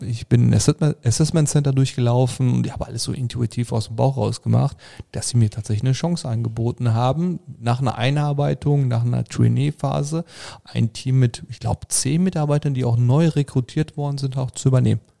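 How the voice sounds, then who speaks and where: This man talks at a moderate pace with a medium pitch and ordinary pitch variation. The sound is dry and close, with no echo. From Germany, Sauerland. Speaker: happiness coach. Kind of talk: podcast interview. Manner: animated.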